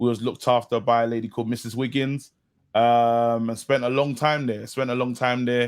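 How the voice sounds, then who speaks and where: In a very clean recording with a silent background, a man with a London accent speaks at a fairly quick pace, his medium pitch held in monotone, flat intonation. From London, Brixton. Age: young. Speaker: comedian and actor. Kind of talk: casual chat. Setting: podcast interview.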